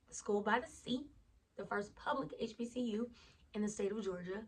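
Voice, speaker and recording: A woman with an American accent speaks at a medium pitch and a fairly quick pace. Her voice is somewhat breathy, with ordinary pitch variation. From US South, Lake Charles, Louisiana. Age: 20s. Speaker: vlogger. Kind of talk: casual vlog chat. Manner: casual, conversational.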